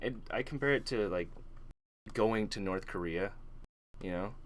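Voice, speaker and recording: The intonation is lively. It belongs to a man. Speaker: podcast host. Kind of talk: casual chat. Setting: online voice call. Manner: soft-spoken.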